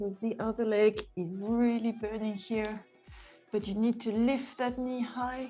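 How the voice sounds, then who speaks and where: A woman with a non-native accent, fairly high pitch, monotone, flat intonation and a fairly slow pace, with music in the background. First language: not English. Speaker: pilates instructor. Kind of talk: live fitness class instruction. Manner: encouraging.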